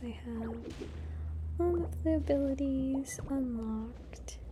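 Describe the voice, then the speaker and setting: Soft-spoken and with a calm tone, a woman talks over noticeable background noise. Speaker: gamer. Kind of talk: soft-spoken gaming commentary for sleep. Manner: soft-spoken, calm.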